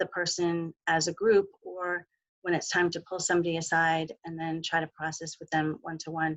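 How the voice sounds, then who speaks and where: Soft-spoken, a woman talks at a fairly low pitch. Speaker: mental health clinician. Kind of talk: webinar presentation.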